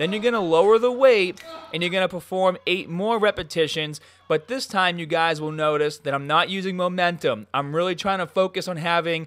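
Speaking at a moderate pace, a man with a high pitch shows ordinary pitch variation over a quiet background. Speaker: fitness vlogger. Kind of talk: tutorial. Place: gym.

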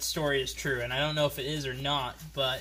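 Light background noise sits behind a man talking. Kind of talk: casual vlog chat. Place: garage. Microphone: phone near.

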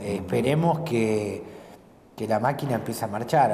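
A man at a moderate pace with ordinary pitch variation, over light background noise. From Argentina, Santa Fe province. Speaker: provincial legislator; interviewee. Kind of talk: casual interview over a meal. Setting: restaurant. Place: cafe.

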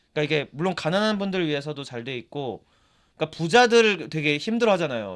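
A man talks at a very fast clip, his pitch swinging very widely. The recording is very clean, with a silent background. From South Korea. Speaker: podcast co-host. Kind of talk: casual chat.

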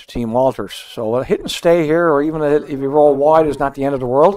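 A normal speaking voice with ordinary pitch variation and a moderate pace. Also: man. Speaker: curling commentator. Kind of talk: live curling commentary. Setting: broadcast booth. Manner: easygoing, conversational, analytical.

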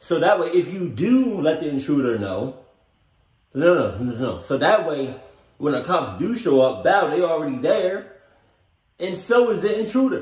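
Against a quiet background with audible room echo, a man talks at a fairly slow pace. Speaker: reaction video host. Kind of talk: casual reaction commentary. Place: home room.

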